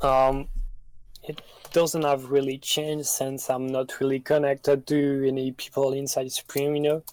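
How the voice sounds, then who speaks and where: A man with a French accent speaks in a fairly high pitch with monotone, flat intonation. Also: moderate pace. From France. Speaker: streetwear news page runner. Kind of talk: interview answers. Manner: halting, many fillers.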